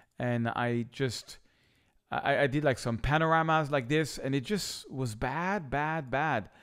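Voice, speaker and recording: Captured in a very clean recording with a silent background, a man speaks with a French accent at a medium pitch and ordinary pitch variation. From France, Paris. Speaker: photographer. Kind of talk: tutorial; vlog storytelling. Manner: animated.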